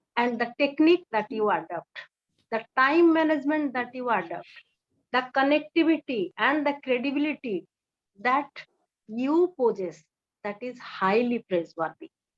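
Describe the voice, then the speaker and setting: Speech at a moderate pace, broken by long and frequent pauses, with lively intonation and a dry, close sound that has no echo. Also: woman, high pitch for a woman. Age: 60s. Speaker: poet and author. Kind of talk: guest speech at book launch.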